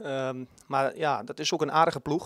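A man speaks with a Twente accent and fairly even intonation. The sound is dry with no echo, over a quiet background. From Twente, eastern Netherlands; Netherlands. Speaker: youth football coach. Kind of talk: interview. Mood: pleased, relaxed. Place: hall. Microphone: handheld.

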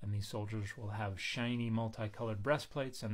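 Speaking fairly quickly, a man with a fairly low pitch sounds somewhat breathy and keeps his intonation fairly even. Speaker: biblical scholar commentator. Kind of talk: commentary. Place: home room. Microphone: phone near.

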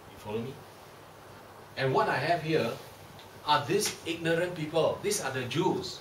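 A man talks at a moderate pace. The room echo is audible, with light noise in the background. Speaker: bible class teacher. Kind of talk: lecture. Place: classroom. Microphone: camera far.

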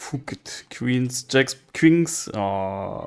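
Noticeable background noise sits under a man speaking with a non-native accent. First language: not English. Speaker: casino streamer. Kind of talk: live gameplay commentary. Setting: online live casino stream. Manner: excitable, swears often.

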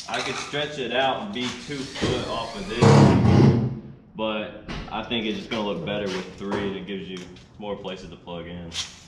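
Through loud background noise, a man talks at a moderate pace. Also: ordinary pitch variation. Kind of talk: tutorial. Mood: casual, relaxed. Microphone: camera far.

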